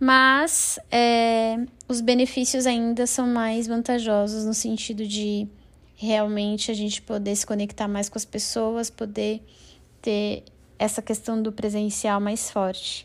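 At a very slow pace, a woman speaks in a fairly high voice with monotone, flat intonation. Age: 20s. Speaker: business planning professional. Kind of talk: recorded expert statement.

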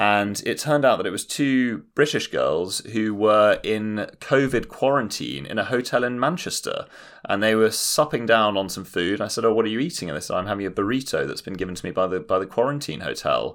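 With hardly any pauses, a man speaks in a London accent on a very clean recording with a silent background. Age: 20s. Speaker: podcast co-host. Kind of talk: casual chat. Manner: animated.

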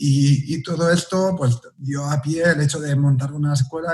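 A man's fairly high-pitched, somewhat breathy voice with fairly even intonation. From Catalonia, Spain (near Barcelona). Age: 40s. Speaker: pastry chef and teacher. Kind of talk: interview.

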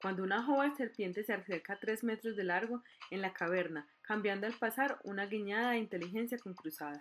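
Pitch varies in an ordinary way. The text is read aloud in a natural voice.

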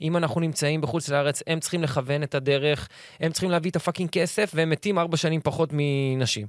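A man speaks very fast with hardly any pauses, his pitch fairly high and his intonation fairly even. Loudness stays very even on a very clean recording with a silent background. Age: 30s. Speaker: actor. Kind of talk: casual chat.

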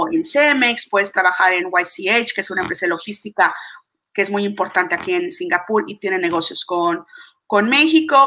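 Her tone is bright and sharp, and her intonation lively. The woman speaks at a medium pitch and a fairly quick pace, with big swings in loudness. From Mexico. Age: 40s. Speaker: business coach. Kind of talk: interview. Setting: video call.

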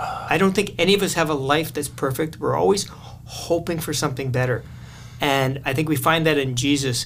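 In a Canadian accent, a man with a fairly high voice talks at a fairly quick pace with ordinary pitch variation, amid audible room echo and noticeable background noise. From Canada, southern Manitoba. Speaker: missionary. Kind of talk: interview.

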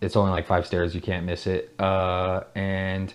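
A man speaks with an American accent at a fairly low pitch. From Oregon, US (Salem). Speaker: ramen shop owner and chef. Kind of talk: casual interview chat. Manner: casual, filler-heavy speech.

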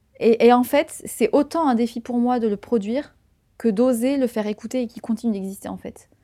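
Her dark, mellow tone sits at a fairly high pitch as a woman speaks at a moderate pace with fairly even intonation. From southern France, Tarn. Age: 20s. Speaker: podcaster. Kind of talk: interview conversation.

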